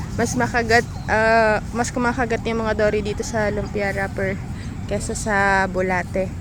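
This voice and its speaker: A woman speaks at a fairly slow pace with a medium pitch. The room echoes audibly, and there is noticeable background noise. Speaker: YouTube fishing vlogger. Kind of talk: casual vlog talk. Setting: outdoors by the water.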